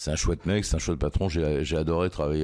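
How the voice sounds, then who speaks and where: A man is speaking. His pitch varies an ordinary amount. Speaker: crime journalist. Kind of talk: interview. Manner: hesitant, many fillers.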